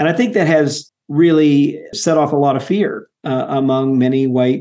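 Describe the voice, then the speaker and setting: With an American accent, a man talks at a moderate pace with hardly any pauses, his fairly high voice dark and mellow in tone, his pitch varying in an ordinary way and his loudness very even. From US South, Mississippi. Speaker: author. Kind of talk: interview. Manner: halting, many fillers.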